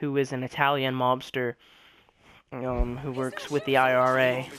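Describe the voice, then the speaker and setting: At a fairly slow pace, a man delivers his words in a flat monotone at a medium pitch. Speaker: video game reviewer. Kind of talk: game review. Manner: quiet and solemn; hesitant, many fillers.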